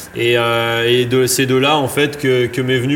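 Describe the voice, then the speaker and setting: Monotone, flat intonation from a man at medium pitch and a moderate pace, with noticeable background noise. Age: 30s. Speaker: freeride mountain biker and slopestyle judge. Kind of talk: casual interview. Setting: recording in a bike shop space. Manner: hesitant, many fillers.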